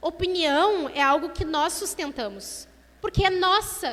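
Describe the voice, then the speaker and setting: Speaking at a fairly slow pace, a woman uses lively intonation and a bright, sharp tone. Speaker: lay preacher at women's church meeting. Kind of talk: sermon.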